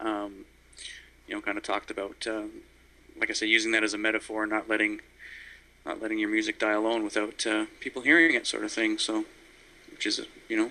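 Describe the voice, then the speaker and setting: A man with a Canadian accent and a bright, sharp tone talks at a fairly low pitch and a fairly quick pace, in a monotone, flat intonation broken by long, frequent pauses. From Ontario, Canada. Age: 40s. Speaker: singer-songwriter. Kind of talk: interview. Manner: halting, many fillers.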